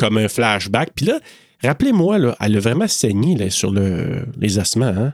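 A man with a Quebec accent speaks at a medium pitch and a fairly slow pace. The recording is very clean, with a silent background and a dry, close sound without echo. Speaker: podcast co-host. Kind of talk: casual chat. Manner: animated.

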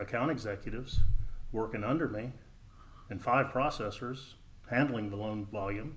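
With an American accent, a man speaks at a medium pitch and fairly even intonation, leaving long, frequent pauses. Audible room echo surrounds his voice. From Texas (Dallas). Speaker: mortgage loan officer. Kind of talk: casual interview.

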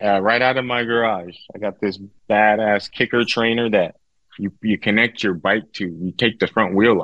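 At a moderate pace, a man with an American accent speaks at a fairly low pitch. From Southern California (Victorville). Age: 40s. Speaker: wheelchair athlete with quadriplegia. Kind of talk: casual interview. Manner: animated.

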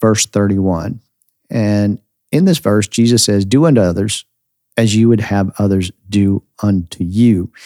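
A man with a fairly low pitch and ordinary pitch variation speaks in an unremarkable speaking voice. The sound is dry and close, with no echo. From United States. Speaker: pastor and podcast host. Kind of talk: sermon-style podcast teaching.

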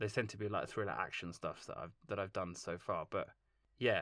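A man speaks at a very fast pace. Vocal fry runs through his voice. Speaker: film composer. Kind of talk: interview.

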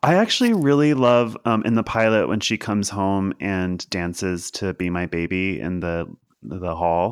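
A man with an American accent has an ordinary speaking voice at a fairly low pitch. He talks at a moderate pace with ordinary pitch variation. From Kentucky, then Philadelphia. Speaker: TV writer. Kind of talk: casual chat.

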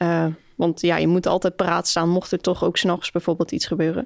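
A woman speaks in a flat monotone at a fairly low pitch. The sound is dry and close with no echo, in a very clean recording with a silent background. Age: 20s. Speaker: summer camp leader. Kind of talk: casual interview.

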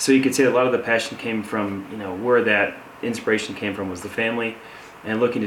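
Fairly quick speech in an Upper Midwest accent, with noticeable background noise and audible room echo. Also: man. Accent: Upper Midwest American. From Michigan, Saginaw. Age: young. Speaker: construction entrepreneur. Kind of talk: interview. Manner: halting.

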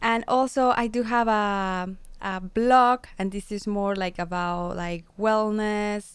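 Speaking with a Spanish accent, a woman of medium pitch talks at a very slow pace. Her intonation is fairly even, and the recording is very clean with a silent background. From Mexico, San Luis Potosi. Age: 30s. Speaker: radio show host and wellness teacher. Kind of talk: casual interview. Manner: halting.

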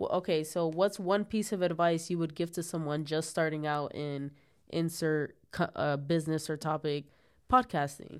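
At a moderate pace, a woman with a fairly low pitch speaks in a very clean recording over a silent background. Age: 20s. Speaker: podcast host. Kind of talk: solo casual monologue. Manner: casual, animated.

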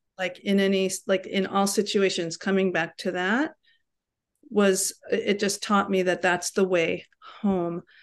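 Against a quiet background, a woman with an American accent and an unremarkable speaking voice talks fairly slowly at medium pitch, with fairly even intonation. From New York City. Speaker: yoga teacher. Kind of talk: casual chat. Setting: video call.

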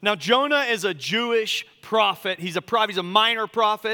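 At a moderate pace, a man projects a raised, high-pitched voice with a bright, sharp tone in a dry, close sound with no echo. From US South, Charleston, South Carolina. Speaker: pastor. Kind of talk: sermon.

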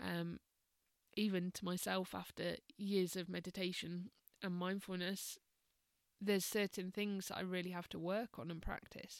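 Calm in tone and monotone, flat in intonation, the speech moves at a moderate pace with long, frequent pauses in a dry, close sound with no echo. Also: woman, medium pitch for a woman. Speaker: meditation and mindfulness teacher. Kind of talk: casual podcast monologue. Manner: hesitant, many fillers.

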